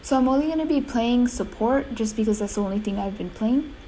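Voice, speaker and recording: A woman with a fairly high pitch talks amid audible room echo. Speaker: gaming youtuber. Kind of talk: gameplay commentary. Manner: hesitant, many fillers.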